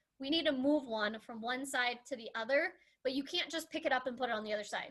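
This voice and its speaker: Raising and projecting her voice, a woman speaks at a high pitch with a bright, sharp tone. Her pace is fairly quick, with ordinary pitch variation. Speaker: math teacher. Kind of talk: lecture.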